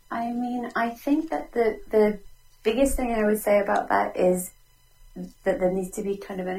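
Pitch varies in an ordinary way in this somewhat breathy voice. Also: woman. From Ireland. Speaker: relationship expert. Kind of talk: interview. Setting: call from home.

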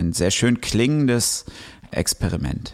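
Vocal fry runs through a man's voice as he speaks at a fairly slow pace. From western Germany (Ruhr area, Recklinghausen). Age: 30s. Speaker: novelist and musician. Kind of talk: casual chat.

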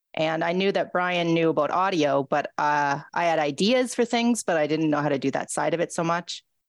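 A woman with a Canadian accent and an unremarkable speaking voice talks at a moderate pace and fairly low pitch, with ordinary pitch variation and very even loudness, in a dry, close sound with no echo over a quiet background. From Ontario, Canada. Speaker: radio host and writer. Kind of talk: casual interview.

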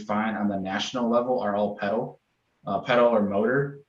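A man's voice with audible room echo. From upstate New York, Rochester. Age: 20s. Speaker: bass fishing podcast host and angler. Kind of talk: casual chat.

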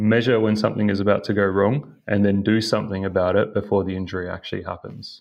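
Over a quiet background, a man talks at a fairly quick pace in a fairly low, monotone voice with flat intonation. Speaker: company founder and engineer. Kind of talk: interview.

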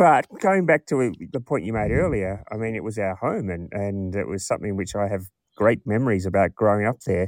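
The man moves at a fairly quick pace, his pitch varying in an ordinary way. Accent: Australian. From rural Western Australia. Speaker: podcast host. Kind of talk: casual interview chat.

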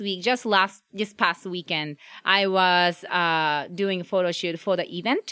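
A woman speaks in a Japanese accent with a bright, sharp tone and hardly any pauses. The recording is very clean, with a silent background. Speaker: food blogger and photographer. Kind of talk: casual interview. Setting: outdoors.

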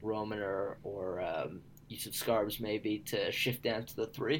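Using a normal speaking voice, a man talks at medium pitch with ordinary pitch variation. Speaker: esports writer and podcast co-host. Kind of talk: casual podcast discussion.

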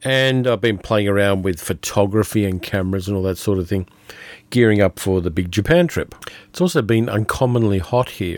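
Talking at a fairly quick pace, a man with an Australian accent uses a fairly low pitch and ordinary pitch variation. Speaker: podcast host, film reviewer. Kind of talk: casual monologue film review.

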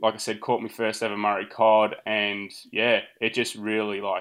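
Against a quiet background, a man with an Australian accent speaks at a fairly slow pace in a fairly low pitch. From Australia, central Victoria. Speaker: angler. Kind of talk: casual chat.

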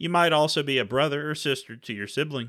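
A man with an American accent talks in a plain, everyday voice at a fairly quick pace. His pitch is fairly high with ordinary variation, on a very clean recording with a silent background. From Texas. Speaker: podcast co-host. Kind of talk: casual podcast intro. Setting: home basement recording.

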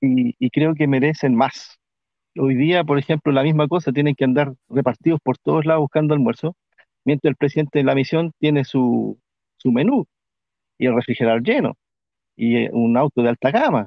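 A man's unremarkable speaking voice, fairly high in pitch, at a moderate pace with ordinary pitch variation and very even loudness. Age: 40s. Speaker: longtime church member and former missionary. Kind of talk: personal testimony in casual chat.

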